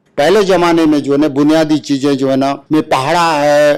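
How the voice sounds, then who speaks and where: A man's fairly high voice comes out in a monotone, flat intonation. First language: Halbi (speaking Hindi). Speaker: retired schoolteacher. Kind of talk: interview.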